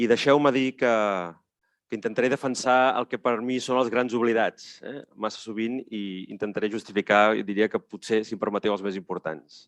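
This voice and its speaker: A man speaks at a medium pitch, with ordinary pitch variation, in a Catalan accent. His pace is fairly quick, and the background is quiet. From Catalonia. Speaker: panelist, head of a city network. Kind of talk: conference talk. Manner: many hesitations.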